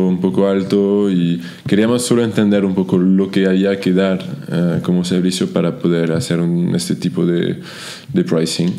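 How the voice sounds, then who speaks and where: A man speaks slowly-ish in a French accent, his fairly low voice holding a fairly even intonation. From France. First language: French (speaking Spanish). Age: 30s. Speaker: startup founder and CEO; guest. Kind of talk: interview. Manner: halting, frequent repetitions. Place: office. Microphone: studio mic.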